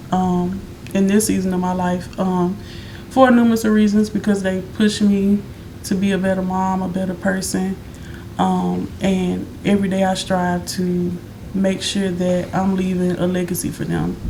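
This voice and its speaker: A woman with an American accent at a medium pitch and moderate pace, flat and monotone in intonation, with audible room echo and noticeable background noise. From Chicago, South Side. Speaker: singer and songwriter. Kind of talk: interview.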